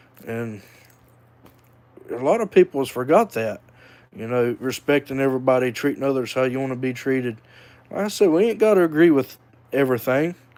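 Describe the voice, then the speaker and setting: A man with a Southern US accent speaks at a medium pitch with lively intonation and a fairly quick pace. He leaves long, frequent pauses. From North Carolina (Hickory). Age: 30s. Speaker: vlogger. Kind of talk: casual monologue. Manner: hesitant, many fillers.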